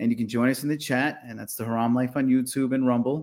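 A man with a normal speaking voice at a medium pitch and fairly even intonation, on a very clean recording with a silent background. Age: 40s. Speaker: podcast co-host comedian. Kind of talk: casual chat.

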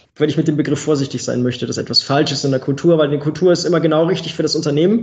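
His voice is somewhat breathy and fairly high for a man, with ordinary pitch variation. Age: 30s. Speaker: quality management consultant and trainer. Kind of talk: podcast interview.

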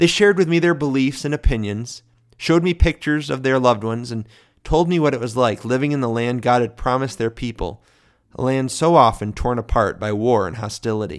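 On a very clean recording with a silent background, a man with an American accent speaks quickly in a normal speaking voice at medium pitch, with lively intonation. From Michigan, US (small village). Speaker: podcast host, ministry representative. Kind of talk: scripted narration of personal testimony.

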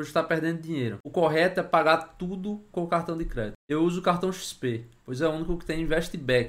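A man in a normal speaking voice talks at a fairly quick pace with ordinary pitch variation. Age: 30s. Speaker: investor and finance YouTuber. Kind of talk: tutorial.

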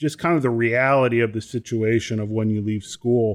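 A man's plain, everyday voice at medium pitch, moderate pace, and a dry, close sound with no echo. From US, moved around (Chicago, Ohio, California, Texas). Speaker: professional trombonist. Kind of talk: casual interview chat.

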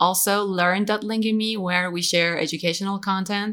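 The speaker talks with an Iranian accent at a fairly slow pace, keeping the intonation fairly even. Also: woman. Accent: Iranian (Persian) English. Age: 30s. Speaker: English teacher and online business founder. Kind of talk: podcast interview. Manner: halting.

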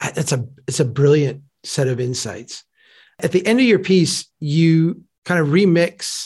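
A man's somewhat breathy, fairly high voice at a fairly slow pace. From Minnesota. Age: 40s. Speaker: podcast host. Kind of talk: podcast interview.

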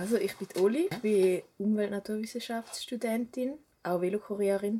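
A normal speaking voice moves at a fairly slow pace with fairly even intonation. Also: woman. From German-speaking Switzerland, rural village. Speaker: student and cycling activist. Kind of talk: interview.

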